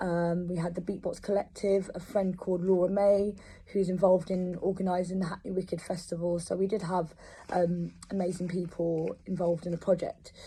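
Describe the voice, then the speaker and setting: A woman speaks at a fairly quick pace in a flat monotone. Her tone is dark and mellow and somewhat breathy. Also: medium pitch for a woman. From London, England. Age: 30s. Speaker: composer. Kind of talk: personal testimony. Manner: hesitant, many fillers.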